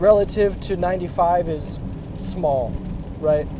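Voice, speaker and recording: Through noticeable background noise, a man speaks at a very slow pace with a high pitch and ordinary pitch variation. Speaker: paraplegic bodybuilder vlogger. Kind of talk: casual vlog monologue. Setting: in a car. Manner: conversational, hesitant with fillers.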